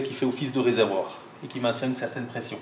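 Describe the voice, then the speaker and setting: A man with a slight Alsatian accent at a medium pitch and a fairly quick pace, amid audible room echo and noticeable background noise. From Alsace, France. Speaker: organ builder. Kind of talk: guided explanation. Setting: inside a church.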